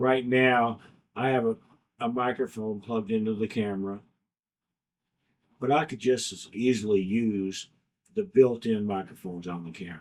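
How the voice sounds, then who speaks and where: Mumbling at a moderate pace, a man speaks at medium pitch. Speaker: YouTube content creator. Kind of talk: casual talk to camera.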